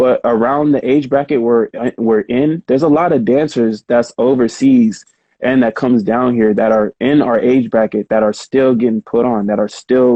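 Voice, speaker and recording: A man with a normal speaking voice and fairly even intonation. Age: 30s. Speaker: krump dancer. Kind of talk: casual interview chat.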